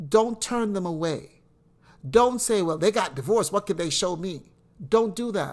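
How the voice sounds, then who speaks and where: A woman with a plain, everyday voice talks at a medium pitch and a moderate pace, her intonation lively. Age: 60s. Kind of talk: inspirational monologue.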